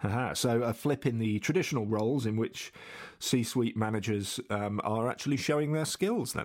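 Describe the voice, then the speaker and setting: At a moderate pace and medium pitch, a man speaks in an ordinary speaking voice with ordinary pitch variation, in a very clean recording with a silent background. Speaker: podcast host. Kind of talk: interview.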